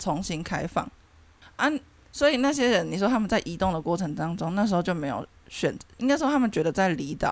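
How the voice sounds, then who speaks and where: A woman talks at a fairly quick pace with a fairly low pitch and very wide pitch swings. The recording is very clean, with a silent background. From Taiwan. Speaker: podcast host. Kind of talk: casual chat.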